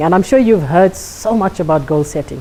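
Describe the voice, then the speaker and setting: A woman's voice with very wide pitch swings at a moderate pace, over noticeable background noise. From South Africa, KwaZulu-Natal. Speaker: life coach and speaker. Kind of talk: workshop talk to a live audience. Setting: classroom with live audience.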